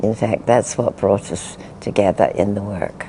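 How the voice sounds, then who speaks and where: Noticeable background noise sits behind a woman speaking at a fairly slow pace. Her pitch is very deep and low, with ordinary variation. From England. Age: 80s+. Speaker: spiritual teacher. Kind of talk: interview answer.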